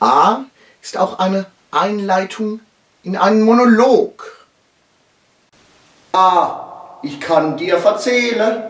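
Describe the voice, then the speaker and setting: The speaker's intonation is lively. The pace is very slow. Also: man. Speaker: dialect teacher. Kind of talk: mock language lesson.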